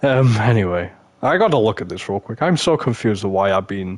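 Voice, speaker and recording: With an English accent, a man speaks against noticeable background noise. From England. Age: 20s. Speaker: gaming streamer. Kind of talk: live stream gameplay commentary. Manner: whispering; animated.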